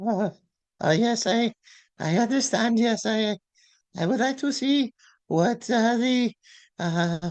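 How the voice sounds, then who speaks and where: A woman does a put-on character voice with fairly high pitch, ordinary pitch variation, very even loudness and a fairly slow pace broken by long, frequent pauses. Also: dry, close sound with no echo. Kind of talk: comic overacting. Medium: comedy sketch. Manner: halting, mumbling broken English.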